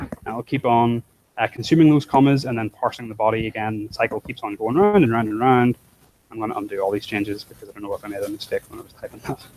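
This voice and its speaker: Talking very fast, a man keeps a medium pitch with ordinary variation while his loudness swings widely. The sound is dry and close, with no echo. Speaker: programming instructor. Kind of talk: live coding tutorial.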